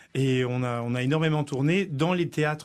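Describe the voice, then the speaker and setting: At a fairly quick pace, a man with an ordinary speaking voice talks at a fairly high pitch, his intonation fairly even. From Africa. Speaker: opera tenor. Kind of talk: radio interview.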